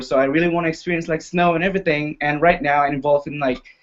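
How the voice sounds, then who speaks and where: A man with an Indonesian accent. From Indonesia, Jambi City. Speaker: university student. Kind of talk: casual panel talk. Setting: live video hangout.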